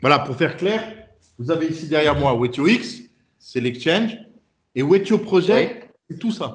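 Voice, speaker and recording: A man at a high pitch, with very wide pitch swings, a fairly slow pace and long, frequent pauses. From France. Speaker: startup CEO. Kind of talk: interview. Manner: halting.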